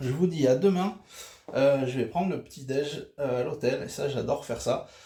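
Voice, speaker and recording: A man speaks with vocal fry at a fairly high pitch. His pitch varies in an ordinary way. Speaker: vlogger. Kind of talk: travel vlog. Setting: hotel room. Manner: hesitant with fillers.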